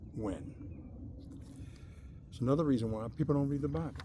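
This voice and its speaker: Audible room echo surrounds a man's dark, mellow voice at medium pitch with ordinary pitch variation. He leaves long, frequent pauses. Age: 60s. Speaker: religious video blogger. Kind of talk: informal bible talk to camera. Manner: casual, conversational with fillers.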